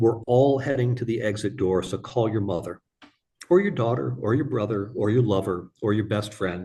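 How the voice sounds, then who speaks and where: A man speaks at a moderate pace with a fairly low pitch and ordinary pitch variation. His tone is dark, mellow and somewhat breathy. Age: 50s. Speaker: author and rare disease patient. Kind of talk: interview. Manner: halting, many fillers.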